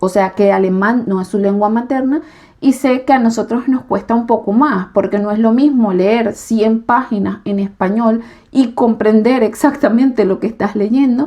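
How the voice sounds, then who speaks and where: A woman with a Venezuelan accent speaks at a moderate pace in a dark, mellow tone, her fairly high pitch showing ordinary variation. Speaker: YouTuber and nursing trainee. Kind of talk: casual vlog explanation. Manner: hesitant fillers.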